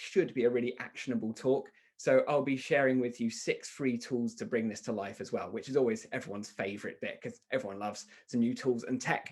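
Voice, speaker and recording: A man with a British accent and a medium pitch talks at a fairly quick pace with hardly any pauses and ordinary pitch variation. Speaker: software company founder, marketing speaker. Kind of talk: webinar presentation. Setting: online webinar. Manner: fast.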